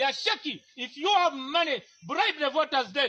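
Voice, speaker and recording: Speaking in a raised, projected voice, a man uses lively intonation and a bright, sharp tone at a moderate pace. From Uganda, Teso region. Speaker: aspiring parliamentary candidate. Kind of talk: heated confrontation. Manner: loud; animated.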